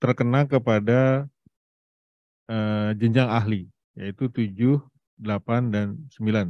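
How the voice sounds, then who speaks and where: A man speaks in a dark, mellow tone with ordinary pitch variation. The sound is dry with no echo, over a quiet background. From Indonesia. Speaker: presenter and platform CEO; presenter. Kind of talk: presentation to an audience. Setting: hybrid event with Zoom participants. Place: hall. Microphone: handheld.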